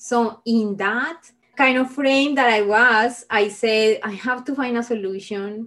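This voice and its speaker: Fairly slow delivery in a Spanish accent, with ordinary pitch variation. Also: woman. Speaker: engineer and minimalism advocate. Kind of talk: interview.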